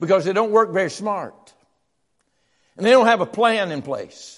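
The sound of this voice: The intonation is lively. The tone is fairly bright. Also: man, high pitch for a man, moderate pace.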